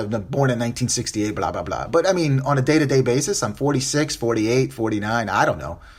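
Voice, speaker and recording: A man's very fast, animated delivery at medium pitch, with lively intonation, vocal fry and hardly any pauses. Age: 40s. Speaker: podcast host. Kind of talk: solo podcast commentary.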